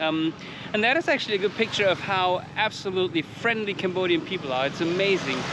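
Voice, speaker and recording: The speaker has a non-native accent and a fairly quick pace. Noticeable background noise runs underneath. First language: not English. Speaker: motorcycle travel vlogger. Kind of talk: casual travel vlog chat.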